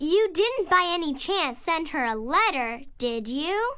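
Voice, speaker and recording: A put-on character voice talks at an extremely high pitch with very wide pitch swings. The pace is fairly slow. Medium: read story.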